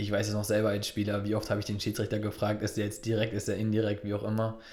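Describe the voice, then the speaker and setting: Speaking very fast, a man uses a fairly low pitch and monotone, flat intonation. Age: 30s. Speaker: football referee. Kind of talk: interview.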